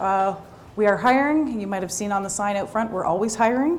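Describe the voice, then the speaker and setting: A woman with a Canadian accent talks very fast in a fairly high voice with lively intonation. The recording carries noticeable background noise and audible room echo. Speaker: police recruiter. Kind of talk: information session presentation. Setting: room with live audience. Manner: loud.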